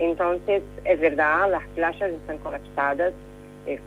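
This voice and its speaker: Speech from a woman, fairly slow in pace, over music in the background. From Brazil. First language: Portuguese (speaking Spanish). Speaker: correspondent. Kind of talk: radio interview. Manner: halting, many fillers.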